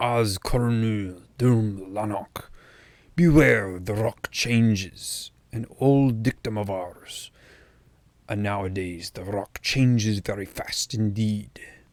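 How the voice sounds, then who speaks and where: A man puts on a guttural character voice in a fairly low pitch with ordinary pitch variation. He delivers it at a very slow pace. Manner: stern, solemn.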